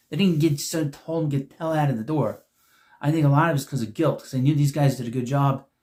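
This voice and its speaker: A somewhat breathy voice rushes along at a very fast pace. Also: man. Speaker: YouTube sports media commentator. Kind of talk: casual monologue video. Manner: halting, self-correcting.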